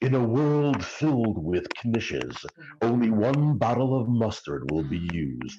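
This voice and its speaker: Putting on a character voice with a dramatic tone, a man at medium pitch swings very widely in pitch while holding a moderate pace and very even loudness. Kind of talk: dramatic trailer narration. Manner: dramatic, announcer-style.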